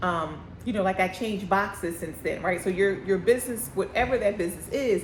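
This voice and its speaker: Her medium-pitched voice, with an American accent, races at a very fast pace as a woman speaks through audible room echo. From Philadelphia. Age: 50s. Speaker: candle business owner. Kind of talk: casual vlog talk. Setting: shop by busy street. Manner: chews gum, lip smacking.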